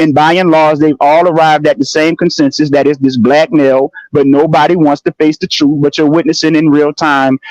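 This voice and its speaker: A man with a New Orleans accent speaks fairly quickly at a fairly high pitch and very even loudness, in a dry, close sound with no echo. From New Orleans, US South. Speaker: livestream panelist, social commentator. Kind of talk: heated livestream commentary. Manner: animated; halting, many repetitions.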